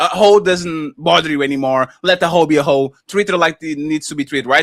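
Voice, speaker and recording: In an animated tone with a non-native accent, a man talks at a fairly quick pace and fairly high pitch, with ordinary pitch variation and a dry, close sound with no echo. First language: not English. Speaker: panel podcast co-host. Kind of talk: casual panel discussion.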